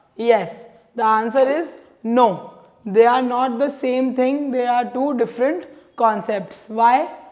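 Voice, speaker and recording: Her high pitch and fairly even intonation carry through audible room echo as a woman speaks. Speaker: economics teacher. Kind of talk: lecture.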